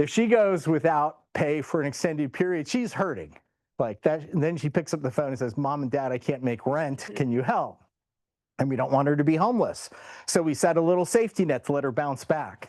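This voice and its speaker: With a plain, everyday voice, a man speaks at a fairly high pitch and a fairly quick pace, his intonation lively against a quiet background. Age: 60s. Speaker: professor. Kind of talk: lecture. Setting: seminar room with audience and online viewers.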